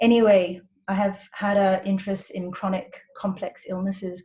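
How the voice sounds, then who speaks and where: This voice is somewhat breathy. It belongs to a woman. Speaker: doctor. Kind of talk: webinar presentation.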